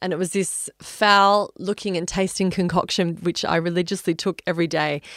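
A woman with an Australian accent speaks at a medium pitch and moderate pace, monotone and flat, with hardly any pauses. The sound is dry and close with no echo, on a very clean recording with a silent background. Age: 40s. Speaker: wellness podcast host. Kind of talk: solo podcast monologue.

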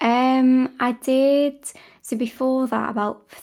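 In a British accent, the speaker moves at a very slow pace with a dark, mellow tone on a very clean recording with a silent background. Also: woman. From Britain. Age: 20s. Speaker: ASMR content creator. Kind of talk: casual interview chat.

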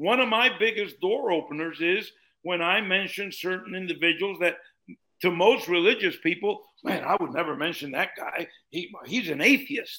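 The voice is raised and projected, with a bright, sharp tone, lively intonation and a moderate pace. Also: man. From Colombia. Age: 70s. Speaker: minister and author. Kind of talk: podcast interview, teaching.

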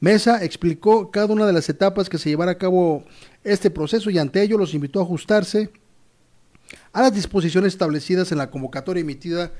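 Speaking very fast in a Mexican accent, a man has a high pitch, a dark, mellow tone and ordinary pitch variation. The recording is very clean with a silent background. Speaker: news presenter. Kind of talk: news commentary. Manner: animated; stumbling.

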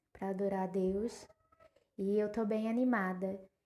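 A woman's fairly high voice with a dark, mellow tone, fairly even intonation, and a moderate pace. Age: 20s. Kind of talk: casual monologue.

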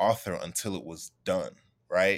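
In a New York accent, a man talks at a fairly low pitch. The recording is very clean, with a silent background. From Queens, New York. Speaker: novelist. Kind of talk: interview.

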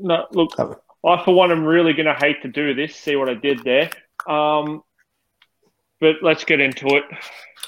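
Long, frequent pauses break up speech delivered at a moderate pace in an Australian accent. The intonation stays fairly even. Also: man, fairly high pitch for a man. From Australia (western Melbourne suburbs). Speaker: football fan podcast co-host. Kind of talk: casual chat; reading prepared match notes.

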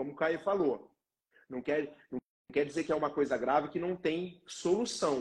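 With a somewhat breathy, fairly high voice, a man talks at a moderate pace and ordinary pitch variation. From Paraná, Brazil. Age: 20s. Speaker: physiotherapist. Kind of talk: live-stream interview.

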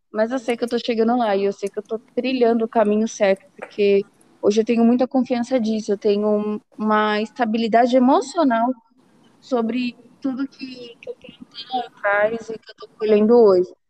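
In an ordinary speaking voice, a woman with fairly high pitch speaks at a moderate pace with fairly even intonation and big swings in loudness, the sound dry and close with no echo. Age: 20s. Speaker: program manager and mother. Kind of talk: podcast interview.

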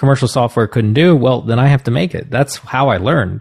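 A somewhat breathy man with an American accent against a quiet background. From US Northeast (New Jersey). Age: 40s. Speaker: composer and music professor. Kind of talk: casual interview conversation. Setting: video call.

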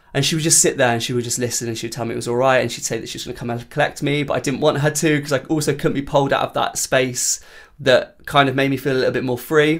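Very clean and with a silent background, the recording captures a man of fairly high pitch talking at a very fast pace with fairly even intonation. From Cornwall, England. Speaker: countertenor singer. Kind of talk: casual chat. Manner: hesitant, many fillers.

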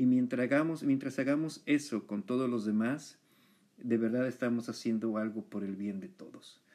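A man with a Mexican accent speaks at a moderate pace. His voice is medium in pitch and dark and mellow, with ordinary pitch variation. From Mexico. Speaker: podcast host, photographer. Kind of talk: interview.

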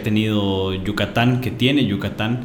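In a space with audible room echo and noticeable background noise, a man speaks in a monotone, flat way. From Mexico. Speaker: podcast co-host, university co-founder. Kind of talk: casual chat.

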